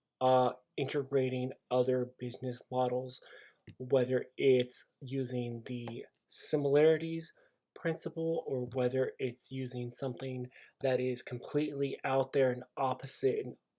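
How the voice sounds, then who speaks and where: A man speaks in a dark, mellow tone. His intonation is monotone and flat. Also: medium pitch for a man, fairly slow pace. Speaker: business student. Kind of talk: class video presentation.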